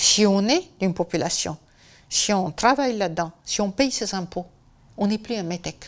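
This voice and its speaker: At a fairly slow pace, a woman with a Romanian accent speaks at a medium pitch with ordinary pitch variation. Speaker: biographer. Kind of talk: interview. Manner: hesitant, with many fillers.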